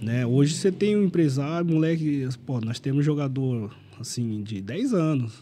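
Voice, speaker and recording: At a fairly slow pace, a man speaks in a fairly high voice with a dark, mellow tone over light background noise. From Brazil. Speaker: former footballer; podcast guest. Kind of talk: casual chat. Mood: relaxed, reminiscing. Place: studio. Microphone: studio mic.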